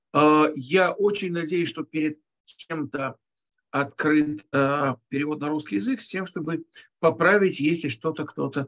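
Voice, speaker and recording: Speaking at a fairly slow pace with ordinary pitch variation, a man comes through against a quiet background. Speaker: teacher leading an online text class. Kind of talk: lecture.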